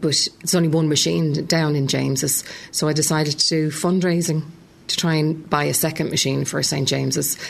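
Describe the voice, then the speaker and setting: In a Dublin accent, a woman with a very deep, low pitch speaks at a moderate pace, monotone and flat, her loudness very even. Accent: Dublin Irish. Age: 40s. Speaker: cancer survivor and former school secretary. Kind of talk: testimony; talk to students.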